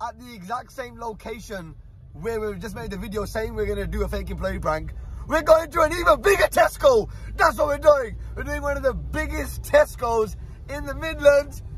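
A man speaks at a moderate pace with big swings in loudness. The sound is dry with no echo, over light background noise. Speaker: prank vlogger. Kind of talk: casual vlog chat. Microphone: phone near.

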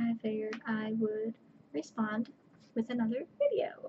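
Soft-spoken and fairly high-pitched, a woman talks at a fairly slow pace over light background noise. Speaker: vlogger. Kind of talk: casual chat. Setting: at home at night. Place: home room. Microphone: webcam.

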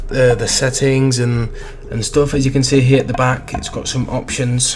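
Moderately paced speech from a man, faint music in the background behind him. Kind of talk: casual vlog chat. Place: home room. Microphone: studio mic.

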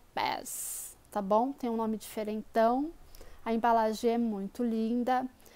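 This woman's voice has a high pitch. She talks at a fairly slow pace. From Brazil, São Paulo, east zone. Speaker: hairdresser and video creator. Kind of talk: hair tutorial. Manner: casual, chatty.

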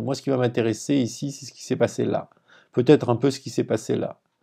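A man with a medium pitch and a dark, mellow tone talks at a fairly quick pace, with vocal fry in his voice. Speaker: lecturer. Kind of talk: lecture. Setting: screen-share tutorial video. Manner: didactic, explanatory.

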